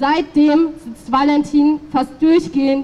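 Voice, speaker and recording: The woman's voice sits high in pitch. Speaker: speaker. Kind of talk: political rally speech. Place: street.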